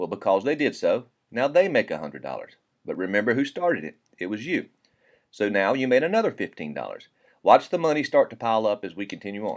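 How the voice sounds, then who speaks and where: A man with a Southern US accent talks at a very fast pace in a very clean recording with a silent background. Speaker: network marketing presenter. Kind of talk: sales pitch. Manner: casual, folksy.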